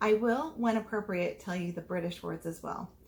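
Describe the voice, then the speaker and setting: A woman talks at a moderate pace with medium pitch and ordinary pitch variation. Noticeable background noise runs under her voice. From United States. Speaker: teacher. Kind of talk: virtual classroom lesson for foreign students.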